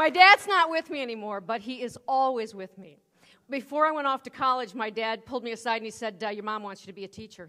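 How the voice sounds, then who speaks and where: A woman's bright, sharp, animated voice at a very fast pace. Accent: Midwestern. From US Midwest. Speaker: keynote speaker. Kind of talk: keynote speech. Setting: stage with audience.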